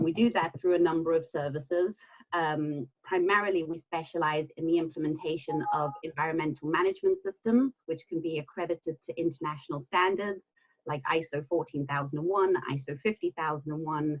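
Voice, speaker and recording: The delivery moves at a fairly quick pace. There is a slight South African accent. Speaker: environmental consultant and trainer. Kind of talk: webinar presentation. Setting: online webinar.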